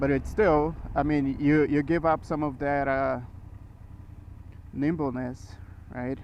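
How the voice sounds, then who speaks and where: Pausing long and often, a man with a non-native accent and a fairly high pitch speaks at a very slow pace with fairly even intonation. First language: not English. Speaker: motorcycle vlogger. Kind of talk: casual motovlog while riding. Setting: riding a motorcycle on the road. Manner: hesitant, many fillers.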